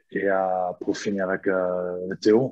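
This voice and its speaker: A man with an Australian accent speaks in a fairly low, monotone voice with flat intonation. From Australia, Sydney. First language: English (speaking French). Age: 30s. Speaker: rugby fitness coach. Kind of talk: interview.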